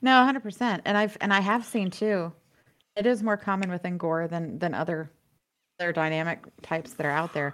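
A woman speaks at a medium pitch with an American accent and ordinary pitch variation. Her pace is fairly quick, and the recording is very clean with a silent background. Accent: Southern American, shows at times. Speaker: podcast co-host. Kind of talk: casual chat.

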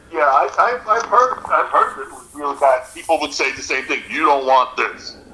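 With an American accent, a man speaks in a fairly high voice with lively intonation and big swings in loudness. His moderate pace has hardly any pauses, and there is noticeable background noise. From New Jersey. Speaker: musician. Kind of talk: casual chat.

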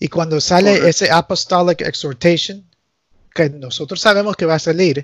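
A high-pitched man with an English accent, moderate pace, ordinary pitch variation and a dry, close sound with no echo. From US, Nicaraguan family. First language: English (speaking Spanish). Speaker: canon lawyer. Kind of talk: casual interview chat.

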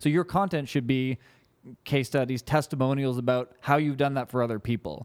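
In a dry, close sound with no echo, a man uses a normal speaking voice at a medium pitch, with ordinary pitch variation, very even loudness and a fairly quick pace. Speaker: social media marketing business owner. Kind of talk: casual interview.

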